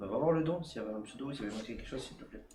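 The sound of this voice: Through strong room echo, a man with a medium pitch and a dark, mellow tone speaks at a very fast pace. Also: lively intonation.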